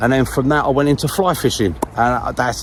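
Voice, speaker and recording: A man talks at a fairly quick pace and medium pitch. Noticeable background noise is present. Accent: London. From southeast London. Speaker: fishing vlogger. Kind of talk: casual chat. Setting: outdoors.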